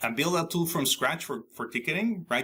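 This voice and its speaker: The voice has a bright, sharp tone and ordinary pitch variation, in a Spanish accent. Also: man. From Mexico. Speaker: IT consultant and author. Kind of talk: interview. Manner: halting, many fillers and restarts.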